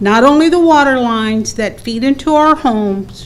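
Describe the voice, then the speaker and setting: At a very slow pace, a woman with a high pitch and ordinary pitch variation speaks amid noticeable background noise and audible room echo. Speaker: resident speaking at public hearing. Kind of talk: reading prepared statement. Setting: county board public hearing.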